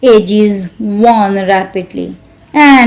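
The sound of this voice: With ordinary pitch variation, the recording presents an unforced reading voice.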